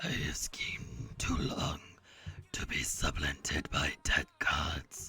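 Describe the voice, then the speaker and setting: A raspy put-on character voice at a fairly slow pace. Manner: menacing.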